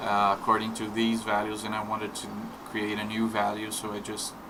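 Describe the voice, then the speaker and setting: With audible room echo and noticeable background noise, a man talks in a fairly low, monotone voice with flat intonation. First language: not English. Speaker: indie game developer. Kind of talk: tutorial. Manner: halting, many fillers and repetitions; slow.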